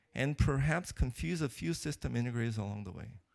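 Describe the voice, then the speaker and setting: A man with a non-native accent talks at a fairly quick pace with lively intonation. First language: not English. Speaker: keynote speaker, computer architecture researcher. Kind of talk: conference keynote talk. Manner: hesitant, many fillers and restarts.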